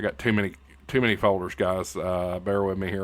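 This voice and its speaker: A fairly low-pitched man with an American accent on a very clean recording with a silent background. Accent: hillbilly. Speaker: YouTube host and radio news anchor. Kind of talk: casual YouTube outro. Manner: halting, many fillers. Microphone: good microphone.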